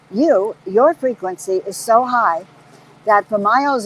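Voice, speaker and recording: A woman's animated tone with lively intonation, a fairly slow pace and noticeable background noise. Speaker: spiritual teacher. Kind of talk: inspirational talk.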